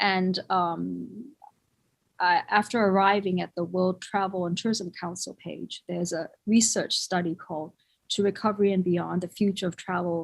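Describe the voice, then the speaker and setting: A woman with a Thai accent speaks at a medium pitch. Her intonation is fairly even, in a very clean recording over a silent background. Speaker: conference speaker in the hotel industry. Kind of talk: conference presentation. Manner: halting, many fillers.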